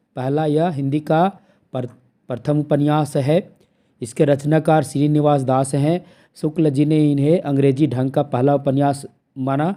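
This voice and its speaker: At a fairly slow pace, a man with a dark, mellow tone speaks in a fairly high pitch with fairly even intonation. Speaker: online exam-prep teacher. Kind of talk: lecture. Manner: repetitive, emphatic teaching style.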